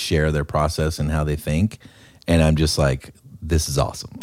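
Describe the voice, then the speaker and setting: Very deep, low male voice, very clean recording and silent background. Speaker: podcast host. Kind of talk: casual interview chat. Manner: energetic, upbeat.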